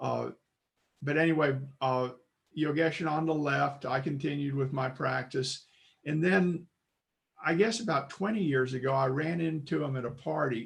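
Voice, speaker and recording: A somewhat breathy man with an American accent, at a moderate pace, with long, frequent pauses. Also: fairly high pitch for a man, ordinary pitch variation. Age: 70s. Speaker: congregation member. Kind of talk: testimony. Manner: halting.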